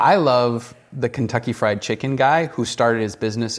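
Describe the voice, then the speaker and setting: A man's plain, everyday voice, medium in pitch, with fairly even intonation at a fairly quick pace. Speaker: entrepreneur. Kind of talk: casual advice talk.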